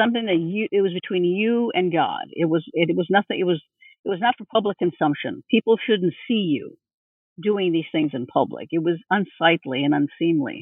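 Speaking at a moderate pace, a woman with a Californian accent has a medium pitch and lively intonation. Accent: Californian American English. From US West Coast, East Los Angeles. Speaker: religious studies professor. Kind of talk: interview.

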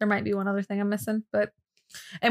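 Recorded in a dry, close sound with no echo, a woman speaks with an American accent. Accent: regional US accent that comes out at times. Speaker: podcast co-host. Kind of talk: casual chat. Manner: animated.

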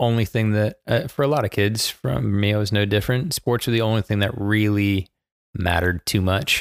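With an American accent and a plain, everyday voice, a man speaks at a moderate pace and a fairly low pitch, the sound dry and close with no echo on a very clean recording with a silent background. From Baltimore, Maryland, US. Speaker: soccer head coach. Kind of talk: casual chat.

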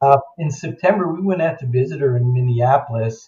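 An American-accented man speaks fairly slowly in a somewhat breathy, dark, mellow voice. His pitch is medium, with ordinary variation. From New York suburbs, US. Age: 70s. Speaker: memoir author, adoptee. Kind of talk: interview storytelling. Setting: remote call.

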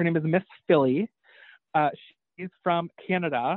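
A man with an American accent speaks fairly quickly in a high pitch. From upstate New York. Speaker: reseller and entrepreneur. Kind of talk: casual chat.

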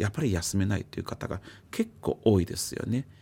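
A man with a Chinese accent. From China. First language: Chinese (speaking Japanese). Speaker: psychiatrist. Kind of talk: radio interview.

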